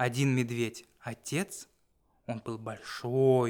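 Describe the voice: Simple, plain reading aloud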